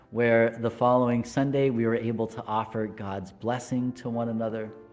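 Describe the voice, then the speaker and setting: Music in the background behind a man with an American accent, medium pitch and a moderate pace. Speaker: Lutheran pastor. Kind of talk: devotional talk to camera.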